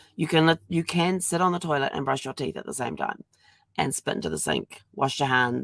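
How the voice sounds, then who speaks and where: The speaker talks at a fairly quick pace with lively intonation and vocal fry. The sound is dry and close, with no echo. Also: woman. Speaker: genealogy vlogger. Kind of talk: casual vlog monologue. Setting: home, live stream. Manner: halting, many fillers.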